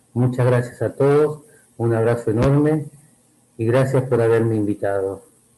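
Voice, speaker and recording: A man's dark, mellow tone at medium pitch, with fairly even intonation, a moderate pace and long, frequent pauses. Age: 70s. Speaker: lawyer, event speaker. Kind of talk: commemorative speech.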